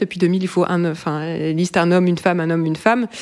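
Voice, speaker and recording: A woman talking at a very fast pace. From France, Brittany. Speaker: podcast co-host. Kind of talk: casual chat.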